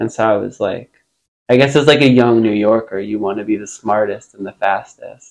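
A man talks in a normal speaking voice at a medium pitch. His pace is moderate and his intonation fairly even. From Long Island, New York. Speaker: musician. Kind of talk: casual chat.

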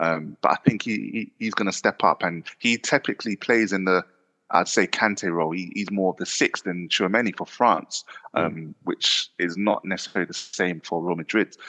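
Against a quiet background, a man with a South London accent speaks at a moderate pace in a very deep, low voice with a bright, sharp tone and ordinary pitch variation, the sound dry and close with no echo. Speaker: football podcaster. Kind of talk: casual chat.

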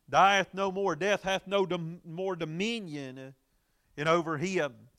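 A man speaks with a high pitch and a Southern US accent, his tone bright and sharp. The recording is very clean, with a silent background. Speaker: Baptist preacher and radio Bible teacher. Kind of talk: Bible study sermon broadcast. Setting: church auditorium live broadcast. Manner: frequent filler words, preacherly.

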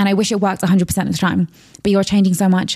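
A woman with a London accent speaks at medium pitch in a dark, mellow tone. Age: 20s. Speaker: entrepreneur and influencer. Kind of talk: casual chat.

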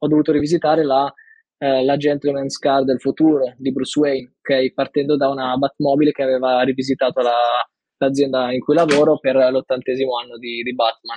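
A man talks at a fairly quick pace with a fairly high pitch and monotone, flat intonation. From northern Italy, Milan. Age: 20s. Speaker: design graduate. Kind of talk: interview. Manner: halting.

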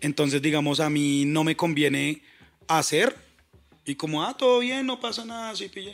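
A man at a fairly high pitch, animated, with very wide pitch swings, on a very clean recording with a silent background. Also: moderate pace. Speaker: hip hop producer. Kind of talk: casual chat.

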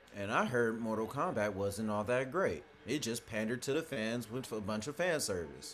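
With hardly any pauses, a man in an unremarkable speaking voice talks at a moderate pace, his medium pitch carried by lively intonation. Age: 20s. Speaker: podcast co-host. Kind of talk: casual chat.

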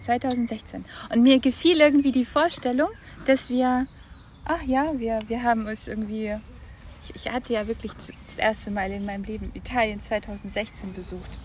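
A woman speaks with long, frequent pauses and big swings in loudness. Noticeable background noise is present. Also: fairly high pitch for a woman, ordinary pitch variation, moderate pace. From Germany, Franconia. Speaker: visual artist. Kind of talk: casual interview. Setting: outdoors in a park. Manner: halting.

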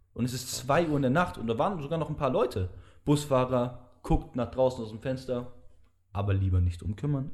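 A man talks at a fairly quick pace in a medium-pitched, somewhat breathy voice. His intonation is lively. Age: young. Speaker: podcast host. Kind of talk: casual chat.

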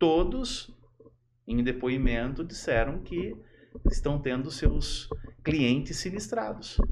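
Amid audible room echo, a man talks at a very slow pace with lively intonation. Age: 50s. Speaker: electronic security expert. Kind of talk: casual chat.

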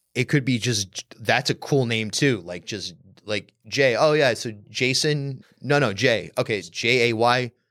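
A man's medium-pitched voice, an ordinary speaking voice, with lively intonation and a fairly slow pace. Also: very clean recording, silent background. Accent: American. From Rhode Island, US. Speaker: podcast host. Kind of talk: casual chat.

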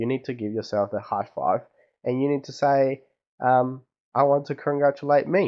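Upbeat in tone, a man talks at a moderate pace and medium pitch with ordinary pitch variation. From Chile. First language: Spanish. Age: 20s. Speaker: podcast host. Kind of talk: casual personal monologue. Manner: halting, many fillers; upbeat, friendly.

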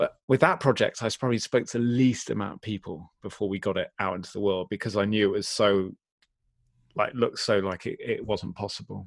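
The speaker has an English accent and talks at a fairly quick pace. The recording is very clean, with a silent background. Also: man, fairly low pitch for a man, fairly even intonation, dry, close sound with no echo. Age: 40s. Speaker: community builder and entrepreneur. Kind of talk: interview conversation.

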